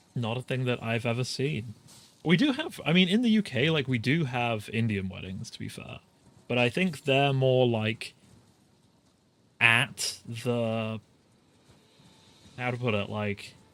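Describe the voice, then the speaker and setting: A medium-pitched man with a British accent, fairly slow in pace, with ordinary pitch variation and long, frequent pauses. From Britain. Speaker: vtuber game streamer. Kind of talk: casual live-stream chat while gaming.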